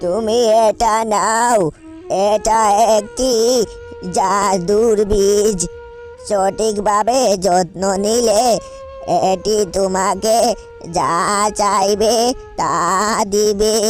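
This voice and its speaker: Someone does a cartoonish character voice at a fairly high pitch and a very slow pace, with clear music in the background. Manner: gentle, wise.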